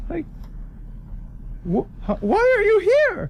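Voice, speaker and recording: A man performs in a put-on character voice. Clear background noise can be heard behind him. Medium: actual play. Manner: hesitant, stammering.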